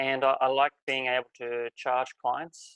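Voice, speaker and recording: In an Australian accent, a man talks at a fairly slow pace with fairly even intonation, in a dry, close sound with no echo. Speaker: life coach. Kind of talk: webinar presentation.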